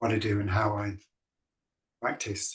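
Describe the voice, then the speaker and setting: A man in a northern English accent talks at a fairly slow pace, sounding somewhat breathy. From northern England, Lancashire. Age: 60s. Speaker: dance organisation director. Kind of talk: presentation in online event. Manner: meandering with hesitations.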